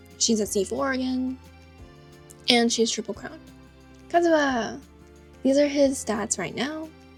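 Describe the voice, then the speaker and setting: Music plays behind a woman with a high-pitched voice and ordinary pitch variation. She talks at a fairly slow pace with long, frequent pauses. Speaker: gacha game player. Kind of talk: casual game account tour voiceover.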